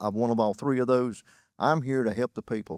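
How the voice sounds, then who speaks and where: A man with a North Carolina accent talks at a very fast pace in a medium pitch with fairly even intonation, recorded dry and close with no echo against a quiet background. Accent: Southern US, North Carolina. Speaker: political candidate. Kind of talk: candidate forum opening statement.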